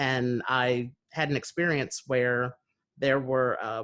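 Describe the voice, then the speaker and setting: This is a man with a New Jersey accent. His pitch sits in the medium range. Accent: American, New Jersey. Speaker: podcast host. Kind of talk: interview conversation. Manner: hesitant, many fillers.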